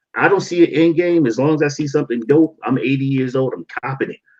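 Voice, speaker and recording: A man with an American accent speaks at a fairly quick pace and a fairly high pitch. It is an ordinary speaking voice. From Baltimore, US. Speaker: sneaker YouTuber. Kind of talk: casual chat. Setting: livestream.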